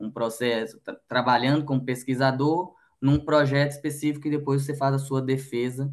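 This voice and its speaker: A man speaks at a moderate pace with a medium pitch and a strong Minas Gerais accent. The background is quiet. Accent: strong Minas Gerais (mineiro). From Minas Gerais, Belo Horizonte, Brazil. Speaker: logistics manager. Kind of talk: podcast interview.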